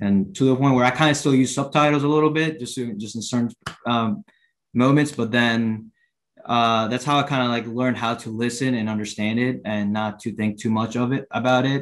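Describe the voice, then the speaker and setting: A man at a fairly quick pace and medium pitch, fairly even in intonation, with a Puerto Rican accent. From Puerto Rico. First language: Spanish. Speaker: baseball coach. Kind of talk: panel discussion.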